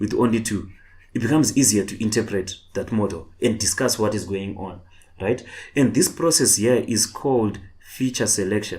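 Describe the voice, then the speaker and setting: In a room with audible echo, a man talks at a medium pitch, somewhat breathy, with a dark, mellow tone. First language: not English. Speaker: online tutor. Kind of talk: lecture. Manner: halting, repetitive.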